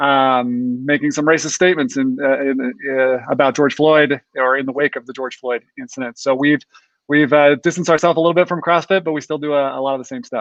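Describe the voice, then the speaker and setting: An American-accented man with an ordinary speaking voice talks fairly quickly at a fairly high pitch with fairly even intonation. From Utah, Ogden. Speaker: chiropractor, panel guest. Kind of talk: casual interview introduction.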